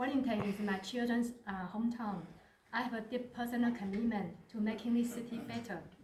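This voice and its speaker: A woman talks at a moderate pace with a fairly high pitch and fairly even intonation, amid noticeable background noise and audible room echo. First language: not English (English is third language). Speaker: mayoral candidate. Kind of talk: campaign speech. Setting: community centre meeting with audience.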